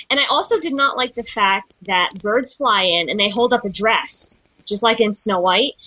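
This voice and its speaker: A woman speaks in a plain, everyday voice, pitched fairly high. Her pace is moderate and her pitch varies in an ordinary way. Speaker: podcast co-host. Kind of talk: casual chat.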